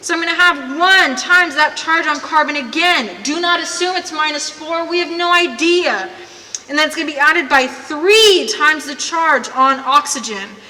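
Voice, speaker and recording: A woman with a high pitch speaks in a raised, projected voice with ordinary pitch variation. Audible room echo and noticeable background noise surround her. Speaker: chemistry teacher. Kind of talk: lecture. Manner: fast.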